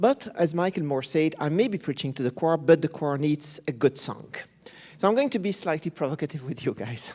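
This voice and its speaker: With a Belgian accent, a man speaks at a fairly high pitch with lively intonation. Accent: non-British accent, from Belgium. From Belgium. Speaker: professor of pediatric neurology. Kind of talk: conference talk. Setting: conference stage with audience.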